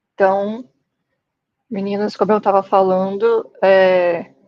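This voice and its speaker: A woman's voice at medium pitch. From Brazil, Espírito Santo. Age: 20s. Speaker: tech instructor. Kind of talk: online lecture.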